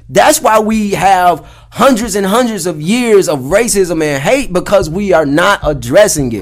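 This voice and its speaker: With lively intonation and hardly any pauses, a man talks at a fairly slow pace in a high pitch. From US South, Atlanta (Clayton County, Georgia). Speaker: podcast co-host. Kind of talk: casual chat.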